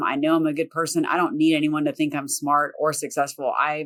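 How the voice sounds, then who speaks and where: With a Southern accent, a woman speaks at a fairly quick pace with a very deep, low pitch. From US South. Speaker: property manager and real estate investor. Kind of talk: podcast interview.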